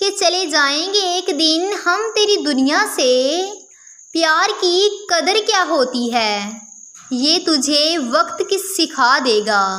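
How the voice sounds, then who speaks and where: A woman's raised, projected voice at an extremely high pitch, with very wide pitch swings and very even loudness. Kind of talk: poetry reading.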